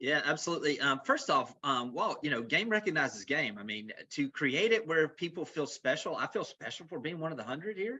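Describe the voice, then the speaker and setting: A man speaks with a Southern US accent at a fairly quick pace in a high pitch. His tone is animated, with very wide pitch swings. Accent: Southern US accent, noticeable. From US South, Florida Panhandle / south Alabama. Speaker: real estate executive. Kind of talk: webinar presentation. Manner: fast.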